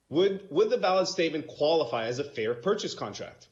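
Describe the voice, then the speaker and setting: There is audible echo from the room. A man's speech moves along fairly quickly. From Romania. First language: Romanian. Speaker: self-represented litigant. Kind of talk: court oral argument. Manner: halting.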